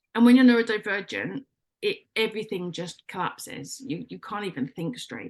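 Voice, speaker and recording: A woman speaks loudly in an English accent. Her pitch is fairly high and her intonation lively. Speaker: life coach. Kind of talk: radio interview. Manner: animated.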